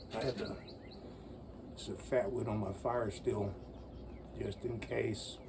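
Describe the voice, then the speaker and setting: A man speaks with long, frequent pauses. Audible room echo and noticeable background noise surround his voice. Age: 60s. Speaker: bushcraft YouTuber. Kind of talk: casual outdoor tutorial.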